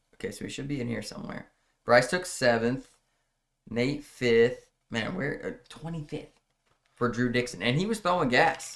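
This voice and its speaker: A plain, everyday voice. It moves at a moderate pace with lively intonation. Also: man, medium pitch for a man. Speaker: podcast host and cornhole player. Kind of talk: casual chat.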